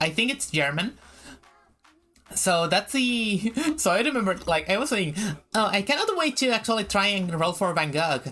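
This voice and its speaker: A woman with a slight Spanish accent, medium in pitch, at a moderate pace with long, frequent pauses, very even loudness and very wide pitch swings. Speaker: VTuber streamer. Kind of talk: casual chat. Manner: halting.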